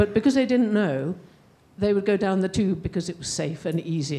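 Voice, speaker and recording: With an English accent, a woman speaks in a dark, mellow tone and lively intonation. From England. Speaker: audience member asking a question. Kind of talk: audience question at a panel.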